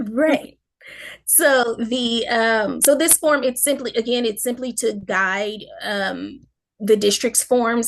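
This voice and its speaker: Over a quiet background, a woman speaks fairly slowly at a fairly high pitch with ordinary pitch variation in a normal speaking voice. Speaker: school district staff presenter. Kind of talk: presentation in online meeting.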